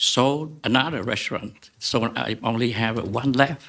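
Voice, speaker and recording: A man with a Vietnamese accent, very slow pace and ordinary pitch variation. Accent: Vietnamese-accented English, limited. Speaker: restaurant owner, appellant. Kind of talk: public hearing statement. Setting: public meeting with mic. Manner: halting, many fillers.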